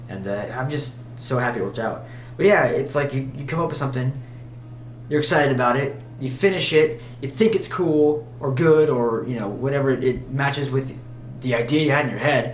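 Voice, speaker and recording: A man with an American accent mumbles at a fairly quick pace and medium pitch with ordinary pitch variation, amid audible room echo and noticeable background noise. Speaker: musician vlogger. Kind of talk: casual vlog monologue. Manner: mumbling; halting, many fillers.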